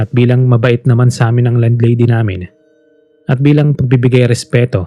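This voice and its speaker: A man talks at a fairly quick pace and medium pitch in a dark, mellow tone. His voice is somewhat breathy, with a dry, close sound and no echo. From Philippines. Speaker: voice actor. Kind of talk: horror story narration. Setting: home studio.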